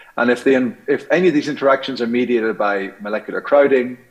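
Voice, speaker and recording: A man speaks with an Irish accent. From Ireland. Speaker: scientist. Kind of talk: conference talk. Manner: hesitant, many fillers.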